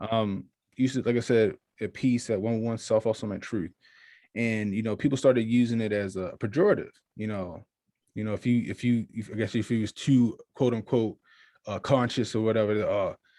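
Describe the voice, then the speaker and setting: On a very clean recording with a silent background, a man with an American accent speaks at a moderate pace in a medium-pitched voice with a dark, mellow tone and fairly even intonation. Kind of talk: casual interview chat.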